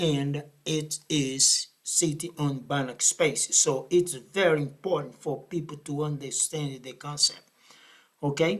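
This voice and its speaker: A man with a Brazilian accent speaks at a fairly slow pace in a fairly high pitch, with ordinary pitch variation. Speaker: math professor. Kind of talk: lecture. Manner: halting.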